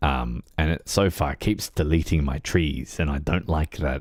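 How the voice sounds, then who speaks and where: The voice carries vocal fry and moves at a very slow pace. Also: man. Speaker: livestreaming gamer. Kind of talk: casual livestream chat. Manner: hesitant, many fillers.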